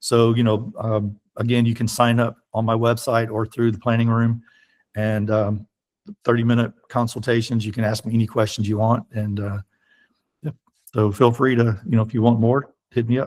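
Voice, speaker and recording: Pitched at a medium level, a man talks in a monotone, flat way. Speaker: app developer and consultant. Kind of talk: casual chat. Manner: fast.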